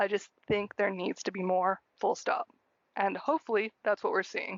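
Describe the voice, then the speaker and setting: A woman speaks with a strong American accent. Her pitch is medium and her intonation fairly even. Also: moderate pace. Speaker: podcast co-host and producer. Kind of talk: casual chat.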